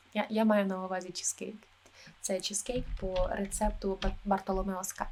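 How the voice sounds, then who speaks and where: A woman speaks in a calm tone at a fairly slow pace. Her voice is somewhat breathy and medium in pitch. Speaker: travel agent (role-play). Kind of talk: ASMR role-play, soft-spoken talk. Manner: soft-spoken, calm.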